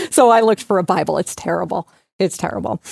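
A woman's medium-pitched voice with vocal fry and an animated tone, ordinary pitch variation and a moderate pace, on a very clean recording with a silent background and a dry, close sound with no echo. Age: 50s. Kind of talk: inspirational talk.

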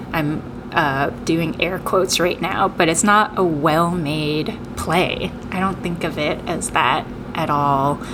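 An American-accented woman speaks at a very slow pace with a fairly low pitch and ordinary pitch variation. Room echo is audible, and background noise is noticeable. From Tokyo, Japan, then Seattle from age eight. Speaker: playwright. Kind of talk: interview.

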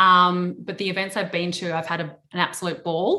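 With an Australian accent, a woman speaks at a medium pitch and a moderate pace, her bright, sharp tone carried by fairly even intonation. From Adelaide, South Australia. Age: 30s. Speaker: investor relations firm founder. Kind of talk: interview. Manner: relaxed; hesitant with many fillers.

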